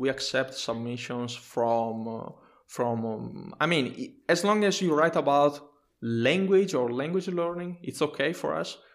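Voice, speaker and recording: Fairly high-pitched male speech with lively intonation, a fairly slow pace, and a very clean recording against a silent background. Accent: Italian. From Italy. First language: Italian. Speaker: software engineer and technical writer. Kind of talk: interview. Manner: halting.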